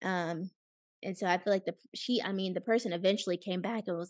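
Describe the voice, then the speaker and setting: Over a quiet background, a woman with an unremarkable speaking voice talks at a fairly quick pace in a medium pitch. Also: dry, close sound with no echo. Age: 20s. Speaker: podcast co-host. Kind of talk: casual chat.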